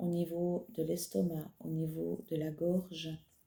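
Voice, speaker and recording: Soft-spoken and calm, a woman talks in a somewhat breathy voice with a dark, mellow tone. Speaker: psychic medium channeler. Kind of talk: channeled spiritual message. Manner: slow, soft-spoken; calm, halting with fillers.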